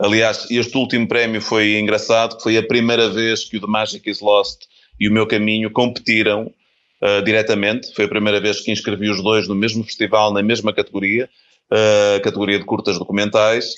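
A man speaks at a moderate pace. His fairly low pitch stays monotone and flat. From Portugal, Porto. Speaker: filmmaker and author. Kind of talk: interview.

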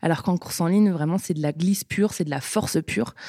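A woman's fairly low, ordinary speaking voice with ordinary pitch variation, dry and close with no echo. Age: 20s. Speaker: sprint kayak athlete. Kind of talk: casual interview.

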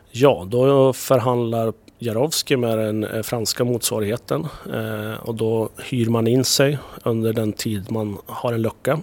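Fairly even in intonation, a man of medium pitch speaks at a very slow pace. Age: 30s. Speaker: TV executive producer. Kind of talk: casual interview chat.

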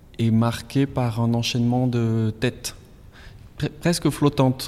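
Keeping a fairly even intonation, a man talks at a fairly slow pace and medium pitch. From southwest France, Basque Country. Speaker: painter. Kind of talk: interview during museum walk. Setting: in a museum gallery. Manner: halting.

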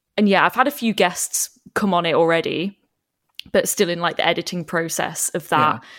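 Speaking at a moderate pace with ordinary pitch variation, a woman with an unremarkable speaking voice and fairly low pitch is heard in a very clean recording, silent in the background, with a dry, close sound and no echo. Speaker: actor and podcaster. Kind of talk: casual chat.

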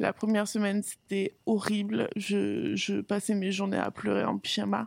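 Fairly slow speech with a dry, close sound and no echo. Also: woman. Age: 30s. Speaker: podcast guest sharing her experience of bipolar disorder. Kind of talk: personal testimony.

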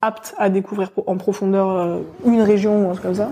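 Dark and mellow in tone, a woman's voice sits at a medium pitch. She keeps a moderate pace and fairly even intonation. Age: 20s. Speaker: exploration geologist. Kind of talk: casual interview. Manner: hesitant, many fillers.

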